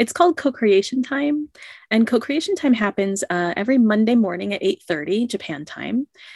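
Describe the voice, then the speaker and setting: A woman's somewhat breathy, fairly high voice in an American accent, with very wide pitch swings at a moderate pace, in a dry, close sound with no echo. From United States. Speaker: creativity coach. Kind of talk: interview.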